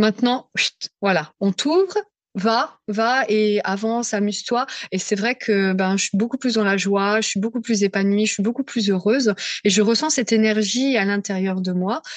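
Heard dry and close with no echo, a plain, everyday voice comes from a woman with a fairly high pitch, speaking at a fairly slow pace with ordinary pitch variation. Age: 40s. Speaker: psycho-emotional therapist. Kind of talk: testimony.

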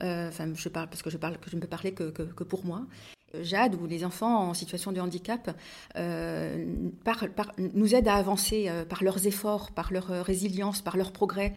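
In a very clean recording with a silent background, a woman speaks at a very slow pace in a medium pitch, with vocal fry and fairly even intonation. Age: 50s. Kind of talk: testimony. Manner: halting.

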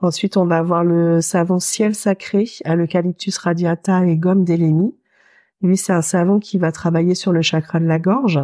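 A woman's fairly low pitch and dark, mellow tone, with fairly even intonation, very even loudness and a moderate pace, in a very clean recording with a silent background. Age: 40s. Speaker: soap and cosmetics maker, energy healer. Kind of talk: interview. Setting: her workshop laboratory.

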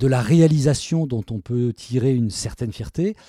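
A man's dark, mellow voice at a moderate pace, dry and close with no echo. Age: 60s. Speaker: self-employed communications professional, interviewee's father. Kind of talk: personal interview. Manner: halting, many repetitions and fillers.

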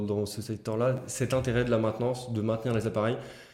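Audible room echo surrounds speech delivered fairly quickly. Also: man. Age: 20s. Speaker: engineer and start-up founder. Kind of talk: interview podcast.

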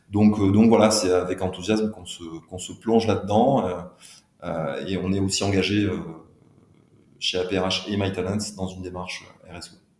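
Fairly slow, monotone, flat speech with long, frequent pauses and big swings in loudness. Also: man, very deep, low pitch for a man. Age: 40s. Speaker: HR entrepreneur. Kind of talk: interview. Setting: on location at a business village.

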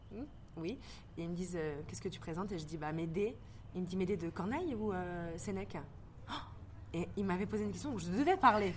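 A woman talks at a fairly quick pace with a fairly low pitch and vocal fry. Her intonation is lively, and the room echo is audible. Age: 20s. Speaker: actress and stage director. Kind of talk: casual interview. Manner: hesitant with many fillers.

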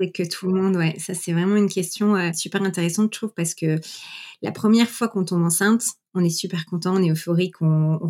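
Speaking at a very fast pace, a woman uses a dark, mellow tone and fairly even intonation. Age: 30s. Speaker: mother sharing her story. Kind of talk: interview testimony.

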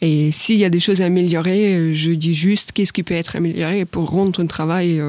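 Fairly low in pitch, a woman speaks at a moderate pace with fairly even intonation. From Ukraine. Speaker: agri-business professional, alumna. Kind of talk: interview. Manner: hesitant, many fillers.

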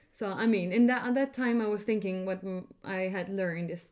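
A woman is speaking. She has an Icelandic accent. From Iceland, Reykjavik. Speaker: architect. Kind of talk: interview.

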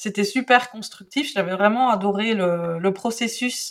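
The woman's pace is very slow, and her pitch varies in an ordinary way. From Belgium. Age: 40s. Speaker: calligraphy teacher. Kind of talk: podcast interview. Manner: hesitant, many fillers.

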